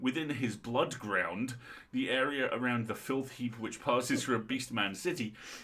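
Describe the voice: Reading aloud, plain and unadorned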